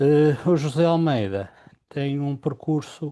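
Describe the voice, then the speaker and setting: A man speaks at a very slow pace in a dark, mellow tone. The recording is very clean with a silent background. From Portugal, Porto. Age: 60s. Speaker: business partner, engineer. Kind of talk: interview. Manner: halting, many fillers.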